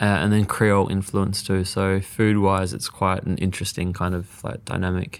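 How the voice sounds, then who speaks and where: With an Australian accent, a man speaks in a very deep, low pitch and fairly even intonation, with hardly any pauses. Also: moderate pace. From Western Australia (Perth), Mauritian Chinese family. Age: young. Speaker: chef and cookbook author. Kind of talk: casual interview chat.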